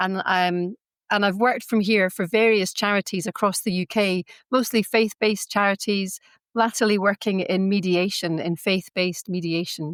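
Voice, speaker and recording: The speaker has a Scottish accent and talks at a moderate pace with fairly even intonation. The sound is dry and close, with no echo. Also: woman, medium pitch for a woman. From Scotland, Glasgow and Iona. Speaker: faith-based mediator, community member. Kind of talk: podcast interview. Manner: hesitant, many fillers.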